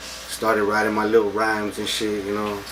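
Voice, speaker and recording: Amid noticeable background noise and audible room echo, a man with a fairly low pitch talks at a moderate pace. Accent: South Texas. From Texas, Taft near Corpus Christi. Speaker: rapper. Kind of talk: casual interview.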